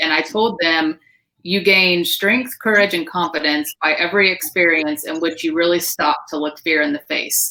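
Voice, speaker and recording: The tone is bright and sharp. The delivery is loud, at a moderate pace. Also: woman. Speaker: direct sales team leader. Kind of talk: live stream panel talk. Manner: animated.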